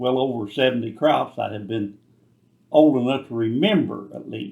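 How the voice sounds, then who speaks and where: With a rural Kentucky accent, a man speaks at medium pitch and a moderate pace, using ordinary pitch variation. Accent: Kentucky rural Southern. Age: 70s. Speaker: retired tobacco farmer. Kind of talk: interview.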